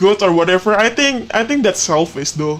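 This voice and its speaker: An Indonesian accent over music in the background. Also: man. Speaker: podcast host. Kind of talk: casual chat. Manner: halting.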